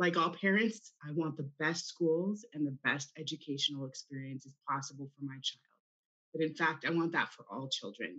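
Against a quiet background, a woman with a very deep, low voice speaks at a moderate pace, with ordinary pitch variation and big swings in loudness. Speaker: candidate. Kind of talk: prepared campaign statement. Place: home room. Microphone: video call.

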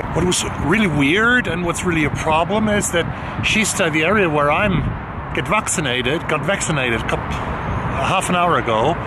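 Moderately paced male speech against loud background noise. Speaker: book vlogger. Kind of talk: casual vlog chat. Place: street. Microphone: phone near.

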